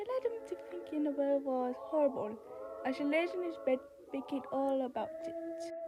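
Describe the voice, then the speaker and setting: Moderate-paced speech from a woman, with noticeable background noise. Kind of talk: creepypasta story narration. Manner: casual, halting.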